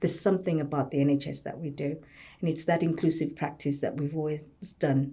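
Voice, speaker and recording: This woman has a Zimbabwean accent. Her tone is dark and mellow. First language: a Zimbabwean language. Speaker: occupational therapist and health service leader. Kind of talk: podcast panel discussion.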